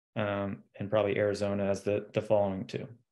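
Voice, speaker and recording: Against a quiet background, a man with an American accent and a fairly low pitch talks at a very fast pace. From Austin, Texas. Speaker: recruitment business owner; guest. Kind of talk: interview. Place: home room. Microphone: video call.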